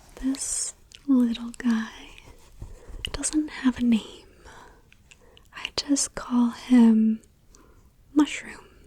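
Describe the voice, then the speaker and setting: Soft-spoken, gentle tone at a very slow pace, with long, frequent pauses and noticeable background noise. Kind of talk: ASMR comfort video.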